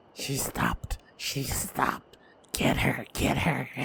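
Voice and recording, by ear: A man uses a raspy, put-on character voice and speaks at a fairly slow pace.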